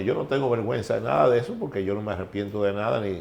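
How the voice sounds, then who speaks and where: Fairly low male speech, its pitch shifting in an ordinary way. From Dominican Republic, San Cristóbal. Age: 60s. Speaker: former baseball executive. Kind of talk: interview. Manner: halting.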